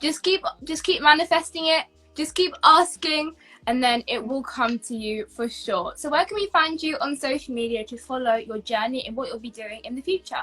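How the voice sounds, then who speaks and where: A woman with a British accent projects her high voice in a bright, sharp tone, with lively intonation at a moderate pace. Her loudness swings widely. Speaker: YouTube interviewer. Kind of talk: online interview.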